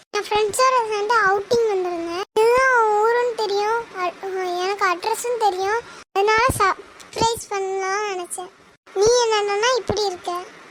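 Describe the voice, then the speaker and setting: An extremely high-pitched cartoonish character voice from a woman, with fairly even intonation. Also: moderate pace. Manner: eager, fussing.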